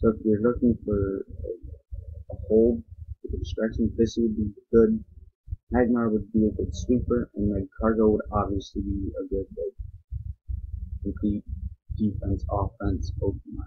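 A man talks at a fairly slow pace and fairly low pitch, with fairly even intonation. His long, frequent pauses stand out against a quiet background. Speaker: game commentator. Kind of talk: gameplay commentary. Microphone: webcam.

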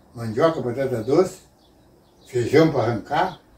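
A man's voice carries audible room echo. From Rio Grande do Sul, Brazil. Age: 80s+. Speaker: farmer and rural worker; interviewee. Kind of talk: interview answer, telling life stories. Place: home room. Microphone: camera far.

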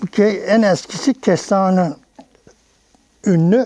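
Here a man speaks at a high pitch. His pitch varies in an ordinary way. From Cumalıkızık village, Bursa, Turkey. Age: 80s+. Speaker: elderly village native telling local history. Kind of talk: interview answer.

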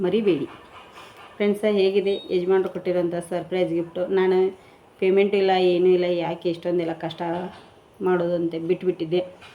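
A woman talks in a monotone, flat intonation as noticeable noise sounds in the background. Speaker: home cooking vlogger. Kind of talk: casual vlog chat.

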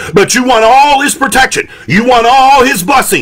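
An animated tone with an American accent and ordinary pitch variation. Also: man. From Detroit, Michigan. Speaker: pastor. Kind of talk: sermon. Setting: indoor room, live stream. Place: home room. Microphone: studio mic.

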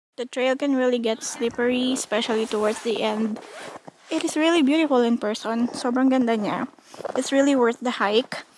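Over light background noise, a woman with a high pitch speaks at a fairly quick pace with fairly even intonation, in a dry sound with no echo. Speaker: hiker vlogger. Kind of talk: casual vlog chat. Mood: happy, relaxed. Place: open country. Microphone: phone near.

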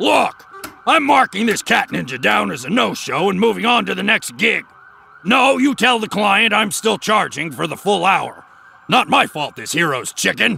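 In a cartoonish character voice, a man speaks high with very wide pitch swings. His pace is moderate. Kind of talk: cartoon voice acting. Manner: gruff, cocky, tough-guy.

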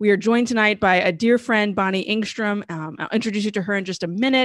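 A woman is recorded with a dry sound, no echo and a quiet background. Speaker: show host. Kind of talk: live show introduction. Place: home room. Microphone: studio mic.

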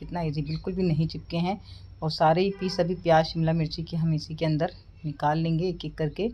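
A woman speaks at a fairly slow pace with a fairly low pitch and a dark, mellow tone. Her voice is somewhat breathy, with light background noise. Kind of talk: cooking tutorial. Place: kitchen.

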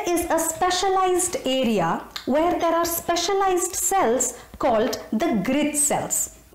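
A woman's high voice at a very slow pace, with very wide pitch swings and audible room echo. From India. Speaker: storyteller. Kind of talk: storytelling narration. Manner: animated. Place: home room. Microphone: phone near.

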